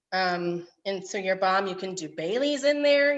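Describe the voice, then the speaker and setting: A woman's plain, everyday voice, lively intonation, moderate pace. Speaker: cooking class instructor. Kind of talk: tutorial.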